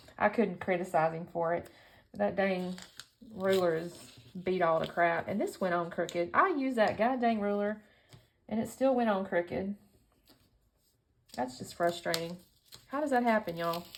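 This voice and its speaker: A woman with a Southern US accent speaks at a moderate pace and medium pitch, with lively intonation and long, frequent pauses. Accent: Southern US twang. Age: 50s. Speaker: scrapbooking YouTuber. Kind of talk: casual crafting tutorial chat. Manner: chatty, rambling with self-corrections.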